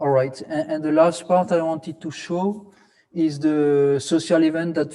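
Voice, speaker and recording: In a French accent, a man speaks at a fairly slow pace with a dark, mellow tone and ordinary pitch variation. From France, Alsace (Strasbourg). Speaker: academic conference co-organizer. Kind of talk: presentation (virtual city tour). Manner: halting, many fillers and repetitions.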